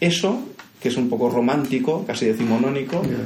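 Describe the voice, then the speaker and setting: A man speaks at a moderate pace with a fairly high pitch and lively intonation, with noticeable background noise and audible room echo. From Catalonia, Castelldefels, of Andalusian family. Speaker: architect and university professor. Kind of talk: interview conversation.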